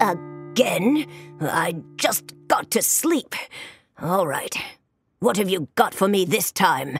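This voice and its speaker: A woman uses a raspy put-on character voice at medium pitch and a very slow pace. Faint music plays in the background. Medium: read story.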